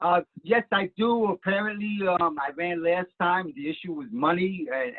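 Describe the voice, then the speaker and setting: A man is talking. His pace is moderate. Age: 60s. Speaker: council appointment candidate. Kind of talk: interview. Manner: halting, frequent repetitions.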